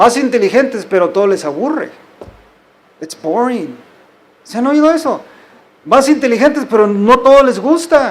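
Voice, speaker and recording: Lively in intonation and extremely high in pitch, a man speaks at a moderate pace with long, frequent pauses, and audible room echo surrounds him. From US, Mexican-American (California). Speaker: pastor. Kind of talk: sermon. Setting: church.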